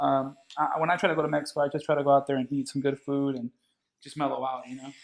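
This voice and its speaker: Delivered at a very fast pace, a man's fairly high voice stays monotone, with flat intonation. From San Diego, California (San Ysidro, near the border). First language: Spanish. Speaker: barber and DJ. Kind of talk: casual chat. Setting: barber shop.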